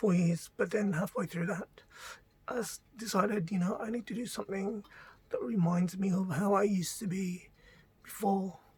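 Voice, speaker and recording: Someone talks at a moderate pace with noticeable background noise behind them. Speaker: vlogger. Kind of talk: personal testimony. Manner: halting.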